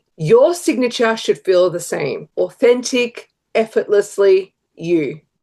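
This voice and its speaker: Very slowly, a woman with an Australian accent speaks at a fairly high pitch in a dark, mellow tone with very wide pitch swings. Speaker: brand strategist. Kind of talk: tutorial.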